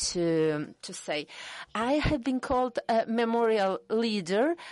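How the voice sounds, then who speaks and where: Speaking very slowly, a woman with a Russian accent swings her pitch very widely. The sound is dry and close, without echo. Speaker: human rights activist. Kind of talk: panel discussion.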